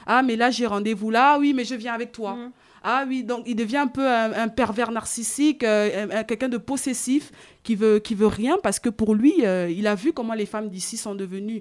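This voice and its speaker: A woman with a fairly high pitch talks at a moderate pace with ordinary pitch variation, in a very clean recording with a silent background. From Africa. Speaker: podcast co-host. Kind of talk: casual discussion. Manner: hesitant, many fillers.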